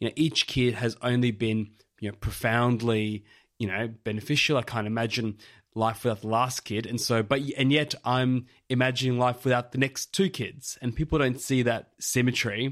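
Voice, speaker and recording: Someone with an Australian accent is heard on a very clean recording with a silent background. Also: man, medium pitch for a man, moderate pace. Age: 30s. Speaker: podcast host. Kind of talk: casual chat. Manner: animated.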